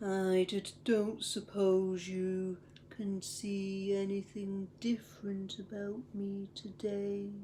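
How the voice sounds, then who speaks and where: In a put-on character voice with a middle pitch, the speaker talks at a very slow pace in a monotone, flat intonation, with clear background noise. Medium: read story.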